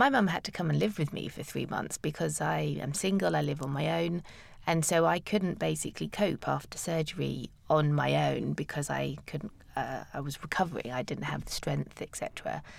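A woman with a British accent speaks at a moderate pace on a very clean recording with a silent background. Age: 40s. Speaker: cancer patient guest. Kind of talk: interview. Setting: studio.

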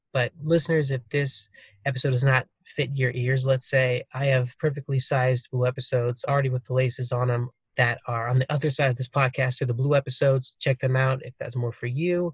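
Somewhat breathy and monotone, a man talks at a fairly quick pace with flat intonation in a dry, close sound with no echo. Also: medium pitch for a man. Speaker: podcast host. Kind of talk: casual interview chat. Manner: casual, joking, chatty.

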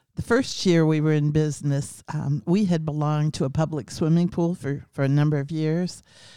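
In a very clean recording with a silent background, a woman with an American accent speaks at a moderate pace in a very deep, low pitch, with a dark, mellow tone and fairly even intonation. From US Midwest (Ohio). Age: 70s. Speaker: care home founder. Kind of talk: casual interview.

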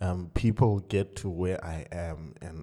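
The voice has a dark, mellow tone and ordinary pitch variation, moving at a very slow pace on a very clean recording with a silent background. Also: man. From South Africa, raised in Cape Town. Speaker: session pianist and music producer. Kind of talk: casual interview.

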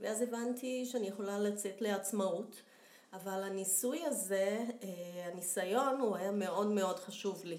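Amid audible room echo, a woman speaks fairly slowly at a medium pitch with ordinary pitch variation. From Brazil. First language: Portuguese (speaking Hebrew). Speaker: professional home organizer. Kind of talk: interview.

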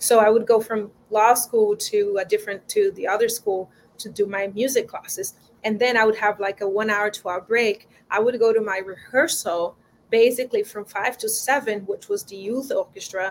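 With a Brazilian accent, a woman talks at a moderate pace with a fairly high pitch and big swings in loudness. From Brazil, João Pessoa. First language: Portuguese. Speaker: violinist. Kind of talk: interview. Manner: warm, enthusiastic.

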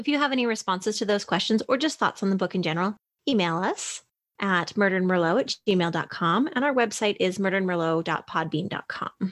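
Using a plain, everyday voice, a woman with a Canadian accent talks fairly quickly at a medium pitch with lively intonation. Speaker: podcast host. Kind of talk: casual chat podcast. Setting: video call. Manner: laughing, casual.

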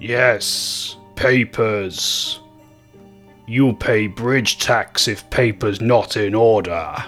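Using a put-on character voice, a man rumbles at a medium pitch and a very slow pace over faint background music. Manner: gruff and demanding.

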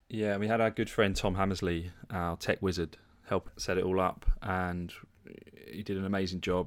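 A man's very deep, low voice, monotone and flat in intonation, at a moderate pace in a very clean recording with a silent background. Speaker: physiotherapist and podcast co-host. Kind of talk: casual chat.

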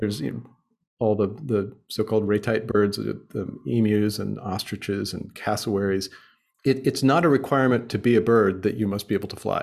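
On a very clean recording with a silent background, a man with an American accent speaks fairly quickly in a fairly low voice with vocal fry and ordinary pitch variation. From United States. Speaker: journalist and author. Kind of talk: casual interview chat.

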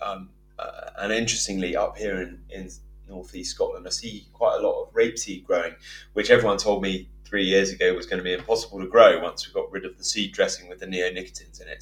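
Against music in the background, a man speaks at a very fast pace with big swings in loudness. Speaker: podcast host. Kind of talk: casual interview chat.

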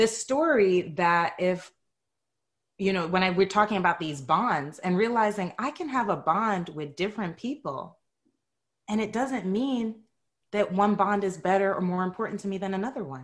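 A woman with an American accent speaks in an unremarkable speaking voice at medium pitch, with lively intonation and a moderate pace. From New York City (Bronx). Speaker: psychotherapist and yoga teacher. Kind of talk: casual interview chat. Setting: podcast interview.

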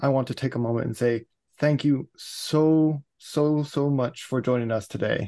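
This man has a fairly high pitch and a dark, mellow tone. He speaks at a fairly slow pace with fairly even intonation. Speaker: podcast host. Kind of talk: casual interview chat.

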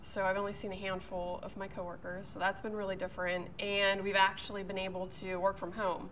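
A woman with an American accent speaks fairly quickly at medium pitch in a monotone, flat intonation, with audible room echo. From Pittsburgh, Pennsylvania. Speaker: TV meteorologist. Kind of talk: casual interview. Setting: golf club.

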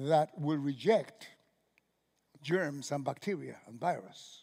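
Recorded very cleanly against a silent background, a man with a Cuban accent speaks at a fairly high pitch. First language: Spanish. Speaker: pastor. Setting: church with live congregation. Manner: halting, self-correcting, restarts words mid-phrase; animated, exclamatory, punctuated by laughs and sudden hushes.

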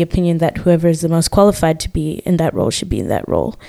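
This woman's voice has a dark, mellow tone. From Zimbabwe. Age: 20s. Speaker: occupational therapy student. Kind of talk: casual chat.

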